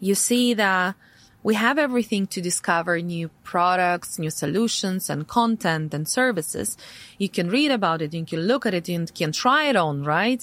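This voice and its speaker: Speaking with a Russian accent, a woman uses a medium pitch and lively intonation at a moderate pace. The recording is very clean, with a silent background. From Latvia, Riga, Russian-speaking family. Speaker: tech entrepreneur. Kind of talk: interview conversation. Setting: studio.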